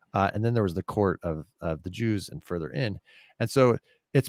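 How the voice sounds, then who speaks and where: Fairly low-pitched man at a very fast pace with lively intonation, in a very clean recording with a silent background and a dry, close sound with no echo. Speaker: podcast co-host, pastor. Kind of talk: casual discussion of faith and politics.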